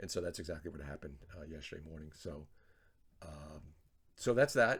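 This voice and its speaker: This man talks at a fairly quick pace, his voice somewhat breathy. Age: 60s. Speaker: trader vlogger. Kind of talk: casual video journal. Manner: hesitant, many fillers and repetitions.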